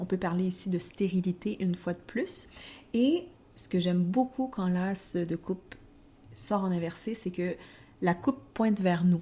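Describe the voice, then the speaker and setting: Speaking with a Quebec accent, a woman uses a dark, mellow, somewhat breathy tone at a medium pitch, with ordinary pitch variation, a fairly slow pace and long, frequent pauses. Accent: Québécois. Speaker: tarot podcast co-host. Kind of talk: casual podcast discussion.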